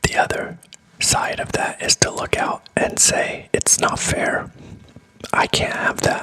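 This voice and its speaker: Someone whispers at a very slow pace with noticeable background noise. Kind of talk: ASMR motivational ramble. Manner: whispered.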